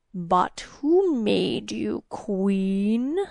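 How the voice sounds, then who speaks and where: This female-sounding put-on character voice sits at medium pitch, with hissing in the sound. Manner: hissing, taunting.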